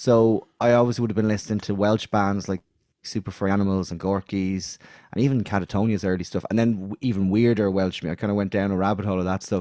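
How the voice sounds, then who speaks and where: Speaking at a fairly quick pace with an Irish accent, a man has a fairly low pitch, a dark, mellow tone and fairly even intonation, captured in a dry, close sound with no echo on a very clean recording with a silent background. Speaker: musician. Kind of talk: interview. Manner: halting.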